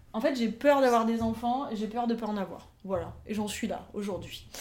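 Her fairly high voice has fairly even intonation at a moderate pace. The woman is heard with audible room echo. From southern France, near Avignon. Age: 30s. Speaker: podcast guest, aspiring writer. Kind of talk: casual interview chat.

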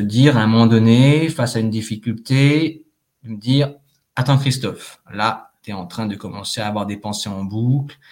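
At a moderate pace, a man speaks at a medium pitch with ordinary pitch variation. His loudness swings widely. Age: 30s. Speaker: actor. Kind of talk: testimony. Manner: distinctive old-fashioned formal phrasing, like French New Wave films; halting, many fillers.

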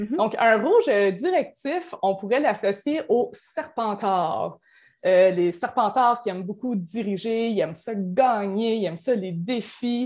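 At a very slow pace, a woman with a fairly high pitch speaks with lively intonation. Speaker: certified coach. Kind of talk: podcast interview.

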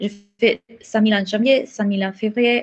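Speaking in an Italian accent, a woman uses a fairly high pitch. She goes at a fairly slow pace, with fairly even intonation. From Italy. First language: Italian (speaking French). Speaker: mindset coach. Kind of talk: interview.

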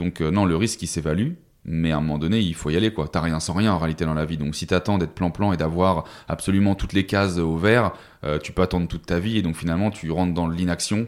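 Very fast speech with fairly even intonation, in a very clean recording with a silent background. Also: man, very deep, low pitch for a man. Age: 30s. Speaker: sales coach and entrepreneur. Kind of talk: podcast interview. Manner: casual, hesitant with fillers.

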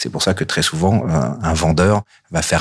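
A man speaks in a very deep, low voice. His pitch variation is ordinary. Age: 40s. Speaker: real estate agent. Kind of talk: interview. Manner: hesitant, frequent fillers.

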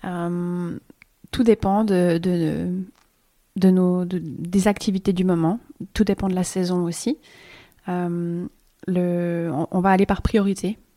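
At a very slow pace with long, frequent pauses, a woman speaks with a fairly low pitch and dark, mellow tone, in a dry, close sound with no echo. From Switzerland. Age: 30s. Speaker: permaculture farmer. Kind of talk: casual chat. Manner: halting.

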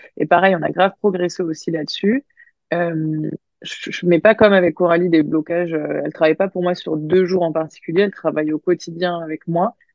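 In an unremarkable speaking voice, a woman talks at a fairly quick pace and fairly low pitch with fairly even intonation. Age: 30s. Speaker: business coach and entrepreneur. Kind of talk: interview.

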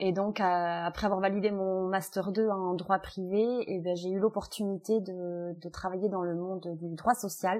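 A woman speaks at a fairly slow pace with hardly any pauses, her intonation flat and monotone against a quiet background. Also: medium pitch for a woman. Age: 30s. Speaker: family mediator. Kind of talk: interview. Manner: thoughtful, with hesitations.

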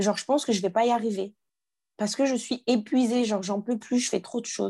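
A woman speaks with a fairly high pitch and a dark, mellow tone. Her pitch variation is ordinary, and the background is quiet. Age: young. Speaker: life coach. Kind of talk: personal testimony interview. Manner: halting with hesitations.

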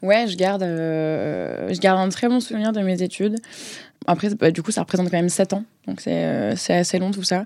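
A woman's dark, mellow tone at a medium pitch. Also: ordinary pitch variation, moderate pace. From southern France, Marseille. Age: 20s. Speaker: in-house legal counsel. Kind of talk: interview. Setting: studio.

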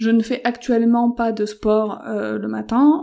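Dark and mellow in tone, this voice proceeds fairly slowly. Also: woman. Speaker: podcaster and freelance entrepreneur. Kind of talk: casual solo monologue. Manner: hesitant, many fillers.

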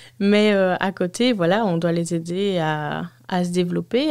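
Speaking at a very slow pace, a woman with a fairly low pitch keeps her intonation fairly even on a very clean recording with a silent background. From Belgium, Walloon Brabant. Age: 30s. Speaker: childcare worker. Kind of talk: interview. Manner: hesitant, many fillers.

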